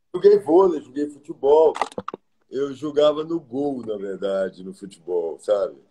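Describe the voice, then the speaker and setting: A man's fairly high voice at a fairly slow pace, with very wide pitch swings, big swings in loudness and noticeable background noise. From Minas Gerais, Brazil (Pedro Leopoldo); Minas Gerais, Brazil. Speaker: architect; interviewee. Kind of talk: interview. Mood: warm, reflective. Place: home room. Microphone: video call.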